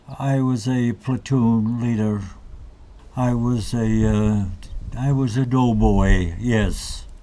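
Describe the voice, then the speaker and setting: In a room with audible echo, a man with an American accent speaks at a very slow pace, his medium-pitched voice dark and mellow with fairly even intonation. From Massachusetts, Malden (Boston area). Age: 90s. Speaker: war veteran. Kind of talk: interview. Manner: halting.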